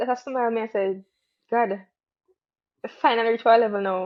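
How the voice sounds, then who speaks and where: Speaking at a very fast pace with a Jamaican accent, a woman keeps a high pitch and fairly even intonation. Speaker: track athlete. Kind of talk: casual interview.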